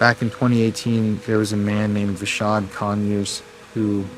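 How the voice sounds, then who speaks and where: A man speaks quietly at a moderate pace in a fairly low voice, with noticeable background noise and audible echo in the room. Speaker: paranormal investigator vlogger. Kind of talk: on-location ghost hunt vlog. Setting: outdoors in park at night. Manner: quiet, lowered voice.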